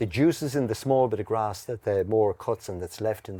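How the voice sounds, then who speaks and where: A dark, mellow tone in an Irish accent, with ordinary pitch variation and a moderate pace. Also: man. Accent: Irish (Mayo). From west of Ireland, County Mayo. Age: 60s. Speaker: horticulturist and garden centre owner. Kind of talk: casual interview chat. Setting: outdoors. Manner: halting, frequent restarts.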